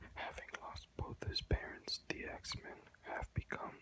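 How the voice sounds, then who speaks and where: Someone whispers at a moderate pace. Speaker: ASMR video creator reading aloud. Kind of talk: ASMR reading aloud from an encyclopedia with casual asides. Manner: whispered, soft-spoken.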